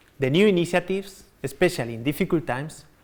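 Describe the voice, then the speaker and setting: A man with a Spanish accent talks at a fairly quick pace in a fairly high voice, his pitch swinging very widely. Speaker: company executive. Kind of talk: corporate keynote presentation.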